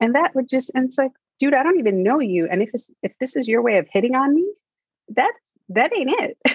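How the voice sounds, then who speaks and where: Speaking with an American accent, a woman uses a high pitch with very wide pitch swings. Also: fairly quick pace. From New York City, Manhattan. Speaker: playwright and screenwriter. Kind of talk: casual interview chat. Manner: easygoing, relaxed.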